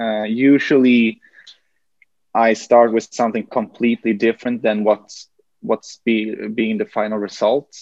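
A man's medium-pitched voice in a Swedish accent, fairly slow and monotone, flat in intonation, dry and close with no echo. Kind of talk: interview conversation. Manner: halting, hesitant.

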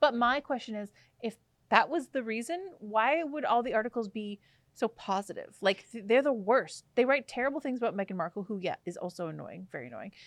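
Using a normal speaking voice, a woman talks at a fairly quick pace with fairly high pitch and big swings in loudness. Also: lively intonation. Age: 30s. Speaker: podcast co-host. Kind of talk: casual chat.

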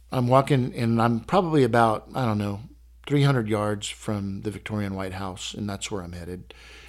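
A man with an American accent talks in a plain, everyday voice at medium pitch and a moderate pace, with ordinary pitch variation. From Texas. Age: 50s. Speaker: collector. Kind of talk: casual interview. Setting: in his home collection room.

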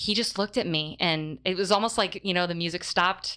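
A woman with an American accent and a plain, everyday voice speaks at a moderate pace in a fairly low pitch. Her intonation is fairly even, and the recording is very clean with a silent background. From upstate New York. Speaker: diocesan youth ministry director. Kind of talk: interview. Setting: studio.

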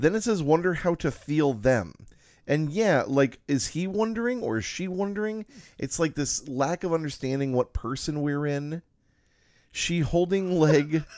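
In a very clean recording with a silent background, a man with a normal speaking voice talks at a fairly slow pace, his fairly high pitch carrying lively intonation. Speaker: podcast host. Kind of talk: casual chat.

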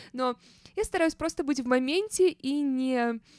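A high-pitched woman's voice at a fairly slow pace, animated in tone and lively in intonation, with a dry, close sound and no echo. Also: very clean recording, silent background. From Saint Petersburg, Russia. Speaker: podcast host. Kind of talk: casual storytelling monologue.

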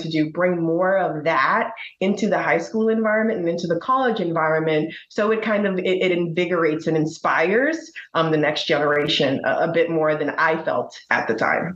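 Speaking at a fairly quick pace with hardly any pauses, a woman with a fairly low pitch keeps her loudness very even and her pitch variation ordinary as room echo is audible. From Bahamas. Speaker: accounting firm partner. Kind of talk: interview conversation.

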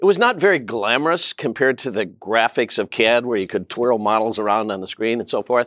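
With an unremarkable speaking voice at medium pitch, a man talks at a fairly quick pace with lively intonation, the sound dry and close with no echo on a very clean recording over a silent background. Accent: American. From US Midwest, southeastern Minnesota. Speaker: tech company CEO. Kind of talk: interview.

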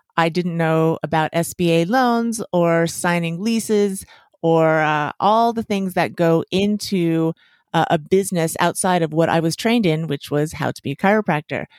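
A woman with an American accent has a plain, everyday voice, fairly low in pitch with ordinary pitch variation. She speaks at a moderate pace, and the sound is dry and close with no echo. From US West (Las Vegas, Nevada). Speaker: chiropractor and podcaster. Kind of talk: interview.

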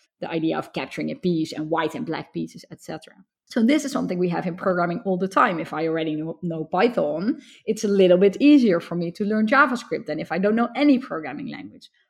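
With a Dutch accent, a woman talks at a very fast pace and medium pitch, her voice making very wide pitch swings. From Netherlands. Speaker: computer science professor. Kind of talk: interview.

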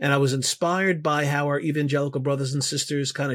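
A man speaks in a monotone, flat delivery with a New York accent. The recording is very clean, with a silent background. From US Northeast, Bronx, New York. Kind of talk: interview. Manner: halting.

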